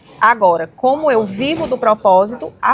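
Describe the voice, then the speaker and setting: With a northeastern Brazilian accent, a woman talks at a fairly high pitch amid noticeable background noise. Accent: northeastern Brazilian, kept. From Brazil, Ceará (Fortaleza). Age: 40s. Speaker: women's mentor and entrepreneur. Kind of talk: podcast interview. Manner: fast.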